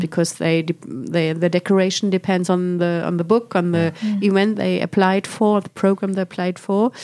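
In a German accent, a woman talks at a moderate pace with a medium pitch and a dark, mellow tone. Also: very clean recording, silent background. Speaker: director of a children's literature house. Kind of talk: interview. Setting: recording while visiting Sweden.

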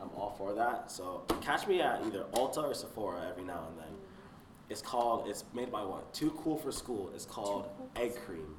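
A man's medium-pitched voice with an American accent, at a moderate pace, with very wide pitch swings and big swings in loudness, amid noticeable background noise and audible room echo. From South Florida. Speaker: student. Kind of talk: casual chat.

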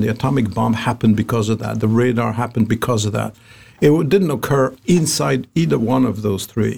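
Vocal fry runs through a man's medium-pitched voice as he talks at a fairly quick pace with ordinary pitch variation. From Algeria. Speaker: pharma R&D executive, former NIH director. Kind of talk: interview conversation.

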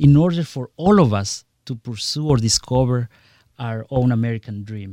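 A man with a Spanish accent, medium pitch and a dark, mellow tone, at a moderate pace with big swings in loudness, in a dry, close sound with no echo and a very clean, silent background. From Guatemala. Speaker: congressional candidate. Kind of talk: radio interview. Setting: studio.

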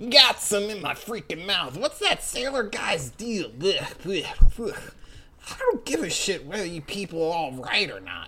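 A female-sounding, fairly high put-on character voice moves at a fairly slow pace with hardly any pauses. Clear background noise runs beneath it. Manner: dismissive, cursing.

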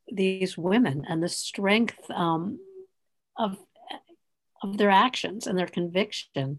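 Her voice sits at a medium pitch as this woman speaks at a fairly slow pace. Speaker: podcast host. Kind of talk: interview.

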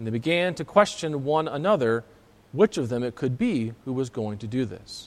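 An unremarkable speaking voice from a man, medium in pitch, at a moderate pace with lively intonation. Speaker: pastor. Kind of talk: sermon. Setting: church.

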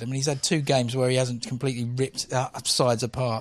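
This man's words come out at a very fast clip. His voice stays at a medium pitch. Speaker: guest football fan. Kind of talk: casual chat.

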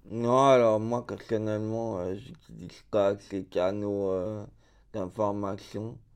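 Against a quiet background, a man with a fairly low pitch speaks with fairly even intonation and big swings in loudness. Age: 30s. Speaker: deafblind resident. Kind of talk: personal testimony. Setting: around a table. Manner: halting.

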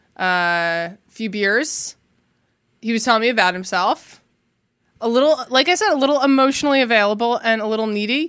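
A woman with a plain, everyday voice, fairly high in pitch and fairly quick, her intonation lively, on a very clean recording with a silent background. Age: 30s. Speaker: podcast guest. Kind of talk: casual chat. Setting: studio.

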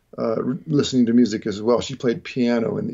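A man talks at a moderate pace and a medium pitch, his voice showing vocal fry. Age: 40s. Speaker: jazz guitarist and educator. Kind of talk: casual interview chat.

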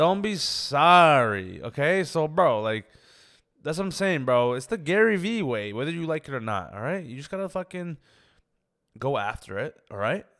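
With a Toronto accent, a man talks at a moderate pace in a fairly high pitch, his pitch swinging very widely and his loudness rising and falling a lot, on a very clean recording with a silent background. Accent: Toronto Canadian English. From Canada, Scarborough (Toronto). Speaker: comedian. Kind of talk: casual chat.

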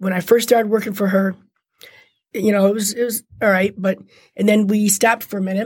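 Somewhat breathy speech comes at a fairly quick pace, broken by long, frequent pauses. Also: woman, medium pitch for a woman. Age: 50s. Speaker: handbag designer and former prisoner. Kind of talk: interview, personal testimony. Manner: animated.

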